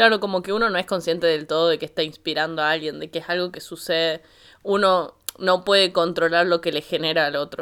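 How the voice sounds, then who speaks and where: A woman talks at a fairly quick pace with a fairly low pitch. The recording is very clean, with a silent background. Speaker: podcast co-host. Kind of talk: casual chat. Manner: animated.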